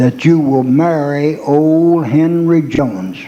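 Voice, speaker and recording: A man with a Southern US accent at a very slow pace, with noticeable background noise and audible room echo. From Arkansas. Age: 80s+. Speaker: country music performer. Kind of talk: stage banter and joke telling.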